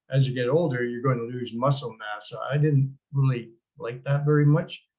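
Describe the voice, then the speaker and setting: A somewhat breathy, fairly high-pitched man's voice in a Canadian accent, with fairly even intonation. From Canada. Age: 70s. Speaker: product promoter. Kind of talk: product testimony. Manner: hesitant, many fillers.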